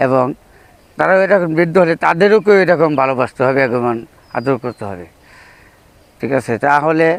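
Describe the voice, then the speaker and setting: A man with an ordinary speaking voice talks at a fairly high pitch with lively intonation. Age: 50s. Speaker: interviewee on filial duty. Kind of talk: informal religious advice.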